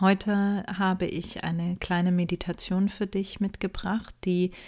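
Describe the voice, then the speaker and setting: In a calm, soothing tone, a woman speaks at a fairly slow pace and a medium pitch. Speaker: podcast host and meditation guide. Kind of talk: guided meditation. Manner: calm, slow, soothing, with long pauses; soft-spoken, gentle.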